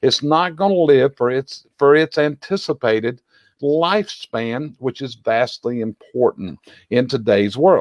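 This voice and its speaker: Speaking with a Southern US accent, a man uses lively intonation. His pitch is fairly high and his pace is moderate. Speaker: chimney industry expert and show host. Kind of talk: educational video discussion.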